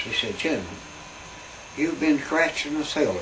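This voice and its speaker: A man with an Appalachian accent uses lively intonation. Noticeable background noise and audible room echo surround him. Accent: Appalachian Southern US. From Southwest Virginia (Wise). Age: 80s+. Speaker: army veteran. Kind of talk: oral history interview storytelling.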